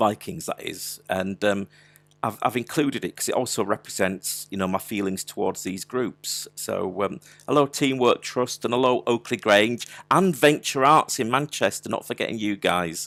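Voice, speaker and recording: A man with a Yorkshire accent speaks with lively intonation. The sound is dry and close, with no echo. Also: medium pitch for a man, moderate pace. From Yorkshire, Wakefield. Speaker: digital artist running an online workshop. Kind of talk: live art tutorial. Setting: live online video stream. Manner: casual, chatty with frequent hesitations.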